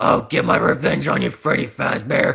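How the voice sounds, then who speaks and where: A man talks at a moderate pace in a raspy, put-on character voice. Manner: menacing, vengeful.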